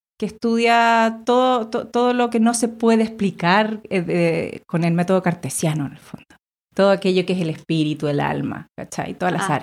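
With lively intonation and a medium pitch, a woman talks at a moderate pace. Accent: Chilean. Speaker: visual artist. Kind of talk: casual chat.

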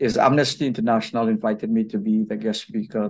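This is a man with a medium-pitched voice. His intonation is monotone and flat. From Guyana. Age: 50s. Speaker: LGBTQ activist and healthcare worker. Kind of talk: interview.

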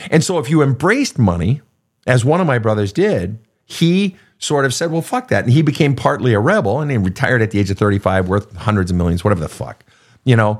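A very fast man at a medium pitch with very wide pitch swings, in a very clean recording with a silent background. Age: 50s. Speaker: counselor and podcast host. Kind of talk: live Q&A. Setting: studio. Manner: animated.

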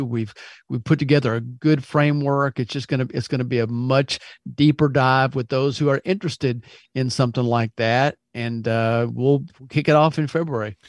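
An unremarkable speaking voice from a man, an unremarkable speaking voice at medium pitch and a fairly quick pace, with ordinary pitch variation, dry and close with no echo, over a quiet background. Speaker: podcast co-host. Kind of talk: casual podcast chat.

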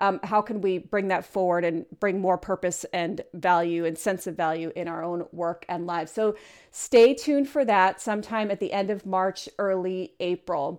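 Speaking at a moderate pace with hardly any pauses, a woman uses a medium pitch and ordinary pitch variation on a very clean recording with a silent background. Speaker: podcast host. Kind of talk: solo podcast monologue. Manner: animated.

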